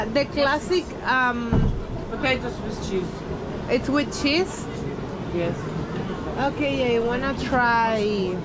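Over loud background noise, a woman with a Spanish accent speaks at a very slow pace. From Venezuela. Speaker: travel vlogger. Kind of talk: travel vlog. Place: market. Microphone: phone near.

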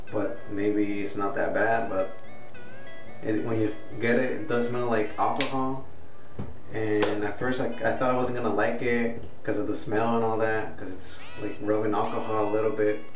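Over clear music in the background and audible room echo, a man speaks at a fairly low pitch in a monotone, flat intonation. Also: moderate pace. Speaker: product reviewer. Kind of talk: casual vlog chat. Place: home room. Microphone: webcam.

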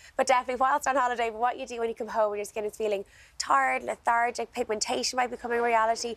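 In an Irish accent, a woman talks at a very fast pace and fairly high pitch with fairly even intonation and a dry sound with no echo. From Ireland. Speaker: skincare expert; guest. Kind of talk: product demonstration. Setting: TV studio. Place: garden. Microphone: lapel.

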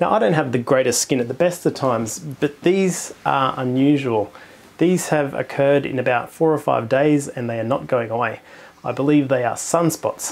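Here a man talks at a fairly quick pace. His pitch shows ordinary variation. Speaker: astronomy channel host. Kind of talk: product review commentary. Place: home room. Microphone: lapel.

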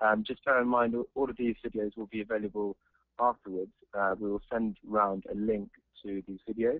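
A man with a strong English accent, fairly low-pitched, at a moderate pace with fairly even intonation, in a dry sound with no echo against a quiet background. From England. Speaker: polo coaching presenter. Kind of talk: webinar presentation. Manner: hesitant, many fillers. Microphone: video call.

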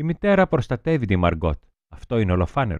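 At a fairly low pitch, a man talks at a moderate pace. The sound is dry and close with no echo, over a quiet background. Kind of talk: audiobook reading of a literary diary excerpt. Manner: measured, expressive reading, soft and wistful in the girl's confessional passages.

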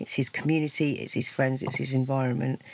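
A woman speaks at a fairly quick pace. Loud background noise fills the dry recording, which has no echo. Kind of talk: interview answer. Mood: worried, a little strained. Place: boat.

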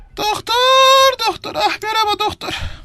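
Using a put-on character voice, a woman sounds squeaky and whiny at an extremely high pitch, with fairly even intonation and a fairly slow pace. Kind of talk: comic overacting. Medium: comedy sketch. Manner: whiny, flirtatious, exclaims "anam" and "ayol".

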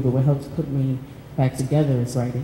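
With an American accent, a woman talks at a fairly quick pace in a very deep, low voice, with audible room echo and light background noise. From Pittsburgh, US. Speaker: artist and writer; panelist. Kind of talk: reading aloud and panel discussion. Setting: stage with audience. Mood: reflective, personal. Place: hall. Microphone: handheld.

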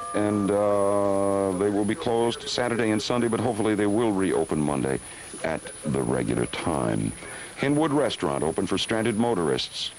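Lively intonation runs through a man's fairly low-pitched voice, with light background noise and a dry sound with no echo. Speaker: radio newscaster reading closings and announcements. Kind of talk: live radio news bulletin reading closings. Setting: radio broadcast during a winter blizzard. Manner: hurried, conversational reading with ad-libbed asides. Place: studio. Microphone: old recording.

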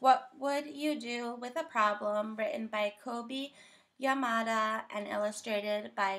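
Natural-sounding read speech, its pitch moving in an ordinary range

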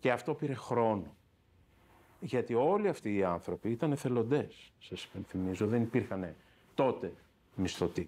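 Long, frequent pauses break up a man's medium-pitched speech, which has lively intonation and a dark, mellow tone. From Greece, Athens (Patisia); Greece. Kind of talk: interview testimony. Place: office. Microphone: lapel.

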